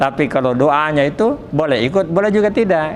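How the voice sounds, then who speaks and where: The intonation is lively. Noticeable background noise runs underneath. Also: man. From Selayar, South Sulawesi, Indonesia. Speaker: Islamic religious teacher. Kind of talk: Quran study lecture.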